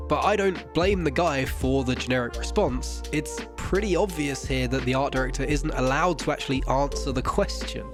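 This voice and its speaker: A man's voice with music in the background. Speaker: gaming commentator. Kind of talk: video essay narration.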